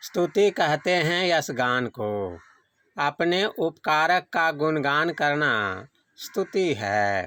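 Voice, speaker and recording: The voice has a bright, sharp tone and a dry, close sound with no echo. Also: man, fairly high pitch for a man. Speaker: devotional reader of a spiritual discourse. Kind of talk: devotional discourse reading. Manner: measured, sermon-like reading.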